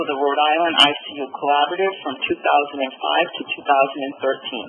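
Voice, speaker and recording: Over noticeable background noise, a woman with a very deep, low voice speaks fairly quickly, her pitch varying in an ordinary way. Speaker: webinar moderator. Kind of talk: webinar introduction. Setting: webinar.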